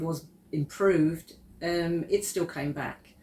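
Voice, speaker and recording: A woman speaks with an Essex accent. Her pitch sits fairly low, and her intonation stays fairly even. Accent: southern English (Essex). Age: 60s. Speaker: client giving a testimonial. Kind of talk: testimony interview.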